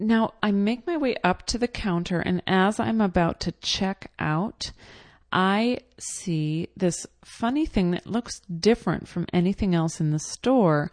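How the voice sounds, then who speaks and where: A woman speaks in a normal speaking voice with an American accent, her pitch medium. She talks at a fairly slow pace with lively intonation over a quiet background. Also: dry, close sound with no echo. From New York. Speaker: podcaster. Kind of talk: personal narration. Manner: casual, many fillers.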